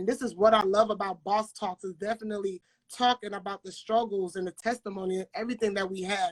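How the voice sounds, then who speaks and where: Recorded with a dry, close sound and no echo, a woman in a New York accent speaks at a medium pitch with fairly even intonation. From Brooklyn, New York. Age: 20s. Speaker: interviewer. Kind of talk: interview.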